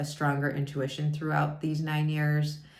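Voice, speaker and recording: With audible room echo, a woman speaks at a moderate pace in a very deep, low pitch. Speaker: wellness coach. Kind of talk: vlog monologue. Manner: loud.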